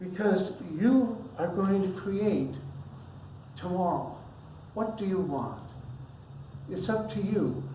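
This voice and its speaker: Noticeable background noise runs under very slow speech broken by long, frequent pauses. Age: 80s+. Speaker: minister. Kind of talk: sermon. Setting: church service. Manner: casual, off script.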